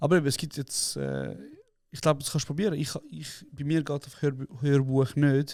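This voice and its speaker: A plain, everyday voice at a moderate pace, with fairly even intonation and big swings in loudness. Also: man, fairly high pitch for a man. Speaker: podcast co-host. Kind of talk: casual chat.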